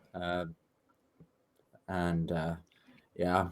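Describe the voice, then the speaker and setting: A man speaks with an Irish accent. He talks at a fairly slow pace. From Ireland. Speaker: political activist. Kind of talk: casual interview.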